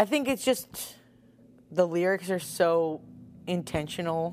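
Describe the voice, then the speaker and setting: At a fairly slow pace, a woman speaks in a very deep, low pitch with an American accent. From US Northeast, Long Island. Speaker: rock singer. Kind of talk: casual interview. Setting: band practice space.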